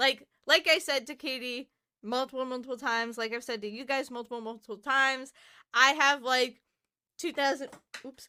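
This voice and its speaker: A woman talks in a raised, projected voice that sits high in pitch. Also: moderate pace, very clean recording, silent background. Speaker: podcast co-host. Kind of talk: casual chat. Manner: animated.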